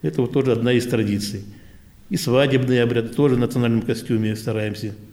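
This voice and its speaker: Speaking at a very fast pace, a man with a medium pitch, a dark, mellow tone and ordinary pitch variation gets his words out. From Central Asia, then Primorye. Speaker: veterans' council chairman, Korean diaspora elder. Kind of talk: interview. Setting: Korean cultural centre.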